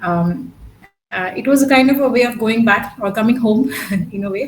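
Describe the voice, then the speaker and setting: A woman's fairly high voice with ordinary pitch variation and a Gujarati accent, plus audible room echo and music in the background. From Pondicherry, south India. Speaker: academic speaker. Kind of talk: academic Q&A discussion. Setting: video call. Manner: hesitant, many fillers. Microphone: network issues.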